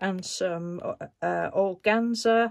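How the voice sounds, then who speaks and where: A woman's voice with ordinary pitch variation over a quiet background. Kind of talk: casual vlog chat. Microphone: phone near.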